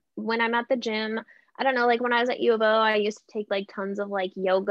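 An unremarkable speaking voice from a woman with an American accent, medium in pitch, fairly quick and fairly even in intonation. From southern Oregon. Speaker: TV news reporter. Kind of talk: casual interview chat. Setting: video call.

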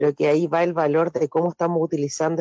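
A man's fairly high voice at a fairly quick pace, dry and close with no echo, over music in the background. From Chile. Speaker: teacher. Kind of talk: radio panel discussion.

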